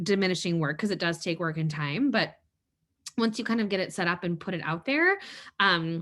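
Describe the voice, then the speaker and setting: A woman's voice sits at a medium pitch with ordinary pitch variation. Her tone is bright and sharp. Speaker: webinar presenter. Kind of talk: webinar presentation. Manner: fast; halting.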